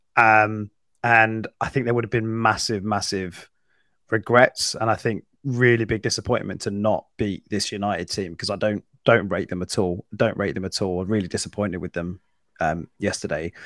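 A man with an unremarkable speaking voice and a fairly low pitch talks at a moderate pace with fairly even intonation. The very clean recording has a silent background and a dry, close sound with no echo. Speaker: football podcast co-host.

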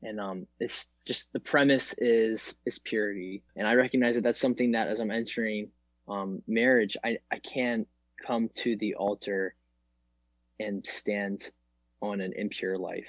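A man's unremarkable speaking voice at medium pitch, fairly even intonation and a fairly slow pace. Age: 20s. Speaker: college student and future naval officer. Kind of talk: casual chat.

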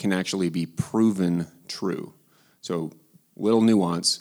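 The man's voice sits fairly low in pitch with ordinary pitch variation. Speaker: philosopher. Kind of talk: panel discussion. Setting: church. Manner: dry humor.

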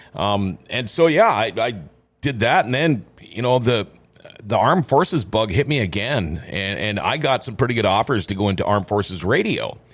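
This man has a plain, everyday voice with an American accent and a medium pitch. He talks at a moderate pace with lively intonation. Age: 50s. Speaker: radio host. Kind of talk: casual interview chat.

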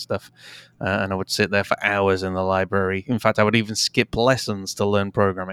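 In an English accent, a man talks at a very fast pace in a fairly low, monotone, flat voice, recorded very cleanly, dry and close with no echo against a silent background. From England. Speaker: digital marketing podcaster and entrepreneur. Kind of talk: interview conversation.

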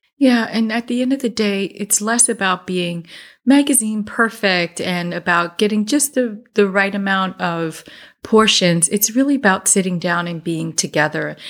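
A woman with a New Jersey accent speaks at a medium pitch in an animated, enthusiastic tone. The recording is very clean, with a silent background. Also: ordinary pitch variation, moderate pace. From US Northeast. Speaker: podcast host. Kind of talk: casual interview chat.

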